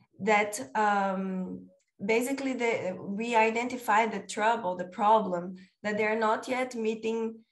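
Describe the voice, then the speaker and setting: A woman talks at a very slow pace with fairly even intonation. There is audible room echo around her voice. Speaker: PhD researcher. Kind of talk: conference presentation. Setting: video call. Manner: halting with fillers.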